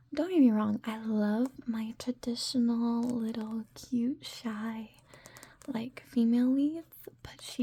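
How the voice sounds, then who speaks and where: Soft-spoken and gentle in tone, a woman with a high pitch speaks at a fairly slow pace and with fairly even intonation over noticeable background noise. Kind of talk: ASMR soft-spoken manga recommendation and reading. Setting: close-mic ear-to-ear ASMR recording. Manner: soft-spoken, gentle, friendly.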